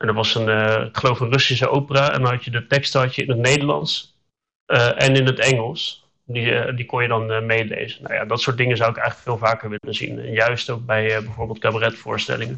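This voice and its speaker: A man talks at a fairly quick pace in a medium pitch. His intonation stays fairly even. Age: 30s. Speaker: communications adviser, hard of hearing. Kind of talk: casual interview. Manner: hesitant, many fillers.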